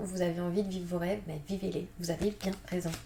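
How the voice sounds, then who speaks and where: Noticeable background noise accompanies a woman's fairly low voice, delivered in a monotone, flat way. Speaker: tarot card reader. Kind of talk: tarot reading. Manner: fast; hesitant, many fillers.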